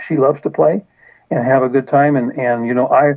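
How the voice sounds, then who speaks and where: At a fairly quick pace, a man speaks with a fairly high pitch in monotone, flat intonation. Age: 70s. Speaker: author of a memoir, retired car salesman. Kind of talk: radio interview. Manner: halting, many repeated words and fillers.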